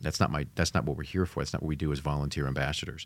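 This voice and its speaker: Vocal fry crackles through a man's very deep, low voice. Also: very clean recording, silent background. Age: 50s. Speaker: Marine Corps reserve officer and financial class coordinator. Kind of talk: casual chat.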